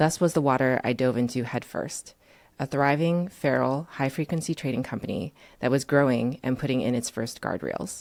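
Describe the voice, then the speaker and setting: A woman speaks with a Chinese accent at a very deep, low pitch and ordinary pitch variation. Her pace is moderate, and the recording is very clean with a silent background. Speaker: writer and former trader. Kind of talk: reading aloud; interview.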